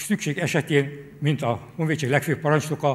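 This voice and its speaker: A man's somewhat breathy, fairly high voice at a moderate pace. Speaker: military historian. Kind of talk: formal talk with consecutive interpretation. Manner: formal.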